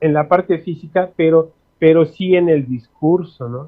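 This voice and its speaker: At a fairly slow pace, a man with a fairly high pitch speaks with fairly even intonation. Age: 60s. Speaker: linguist. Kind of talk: interview. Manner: halting, many fillers.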